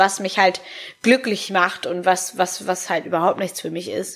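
At medium pitch, a woman talks at a moderate pace. Her intonation stays monotone and flat. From Hamburg, northern Germany. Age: 20s. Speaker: podcaster and make-up artist. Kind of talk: personal monologue. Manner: casual with many fillers.

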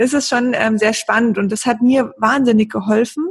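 High-pitched, a woman's voice shows ordinary pitch variation. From Lake Constance region, southern Germany. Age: 30s. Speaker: blogger on women's health. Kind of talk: podcast interview.

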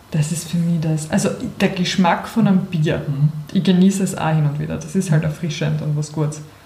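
Against noticeable background noise, a woman with a very deep, low pitch speaks at a fairly quick pace with fairly even intonation. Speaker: podcast co-host. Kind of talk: casual chat.

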